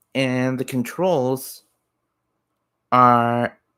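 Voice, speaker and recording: The recording is very clean with a silent background, capturing a man at medium pitch. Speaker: gaming youtuber and hobby game developer. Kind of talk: game development showcase commentary.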